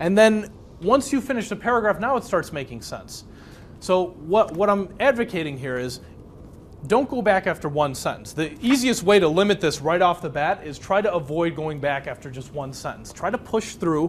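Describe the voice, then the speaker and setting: A high-pitched man's voice with very wide pitch swings at a moderate pace. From US Midwest, Chicago south side (Polish neighborhood). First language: Polish. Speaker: speed reading instructor. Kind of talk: workshop lecture. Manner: conversational, engaging.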